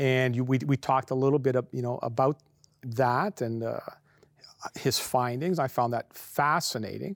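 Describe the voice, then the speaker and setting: A man talks at a moderate pace in a normal speaking voice, with medium pitch and ordinary pitch variation. The sound is dry and close with no echo, on a very clean recording with a silent background. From Canada. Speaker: religious TV host. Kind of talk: interview.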